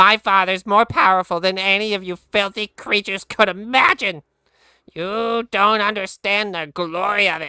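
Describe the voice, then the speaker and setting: Squeaky and at a middle pitch, a put-on character voice moves along at a moderate pace. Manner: boastful, arrogant.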